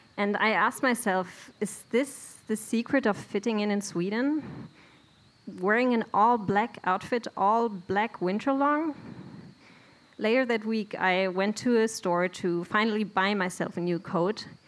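A woman's fairly high voice at a very even loudness. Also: ordinary pitch variation, fairly slow pace. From Germany, Bielefeld. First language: German. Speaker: immigrant storyteller. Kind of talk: live storytelling. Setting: stage with audience.

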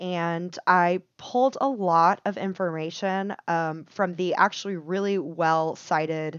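A woman with an American accent speaks at a fairly slow pace and a fairly low pitch. She has an ordinary speaking voice with fairly even intonation. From Texas. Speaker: podcast co-host. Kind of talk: casual chat; storytelling.

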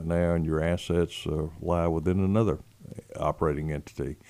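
A man with a West Texas accent speaks in a very deep, low pitch and a dark, mellow tone, his intonation monotone and flat. The recording is very clean, with a silent background. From West Texas, San Angelo. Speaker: state legislator. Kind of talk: interview. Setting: studio. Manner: hesitant, many fillers.

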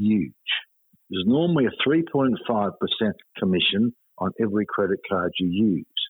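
A man speaks with an Australian accent, his pitch swinging very widely. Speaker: finance author and commentator. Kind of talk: interview. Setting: phone call.

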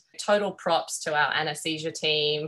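With an Australian accent, a woman speaks at a moderate pace in a very deep, low voice that has a bright, sharp tone. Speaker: veterinary surgeon and professor. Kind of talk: interview.

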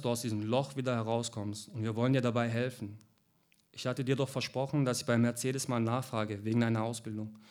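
Talking at a very fast pace, a man keeps a fairly even intonation. His pitch sits at a medium level. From Heilbronn, southwest Germany. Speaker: author. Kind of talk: reading aloud.

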